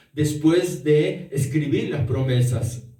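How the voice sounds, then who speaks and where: With audible room echo, a man talks at a very slow pace with ordinary pitch variation. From Peru, Arequipa. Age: 60s. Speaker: pastor. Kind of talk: sermon.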